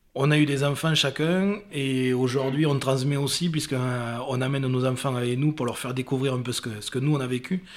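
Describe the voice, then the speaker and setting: A man's plain, everyday voice at a moderate pace. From Casteljaloux, Lot-et-Garonne. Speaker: lifelong friend, festival-goer. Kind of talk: interview storytelling.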